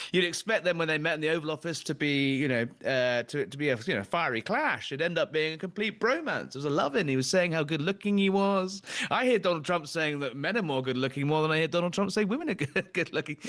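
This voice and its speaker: A fairly high-pitched man with a British accent, very fast pace, lively intonation and hardly any pauses. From Britain. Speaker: political talk show host. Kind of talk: political interview chat. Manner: halting, many fillers.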